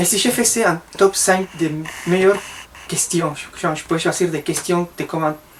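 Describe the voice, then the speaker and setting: Noticeable background noise runs through the clip. A man speaks in a high voice. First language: Spanish (speaking French). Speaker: vlogger. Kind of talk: comedic vlog monologue.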